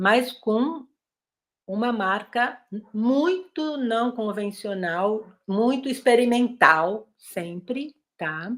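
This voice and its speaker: Lively intonation marks this woman's fairly high voice. She speaks at a very slow pace. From Brazil, São Paulo. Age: 60s. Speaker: occupational therapist, guest lecturer. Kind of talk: lecture.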